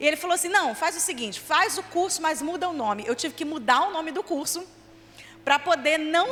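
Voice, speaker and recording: Over noticeable background noise, a woman talks at a moderate pace with an extremely high pitch and lively intonation. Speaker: children's ministry leader and trainer. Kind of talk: church training lecture.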